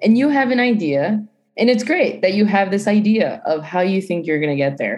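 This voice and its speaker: Speaking with an American accent at a moderate pace, a woman uses a normal speaking voice of medium pitch with lively intonation. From US Northeast, Providence, Rhode Island. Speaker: study abroad program coordinator and podcast co-host. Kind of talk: panel discussion.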